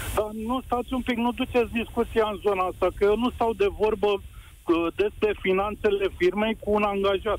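This man's moderate pace stays consistent. His pitch is high. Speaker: caller, business owner. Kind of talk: radio phone-in. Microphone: too quiet.

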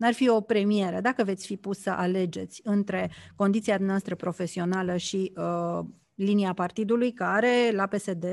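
In a plain, everyday voice, a woman talks at a moderate pace and medium pitch with fairly even intonation, the sound dry and close with no echo against a quiet background. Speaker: radio host. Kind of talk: radio interview. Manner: formal.

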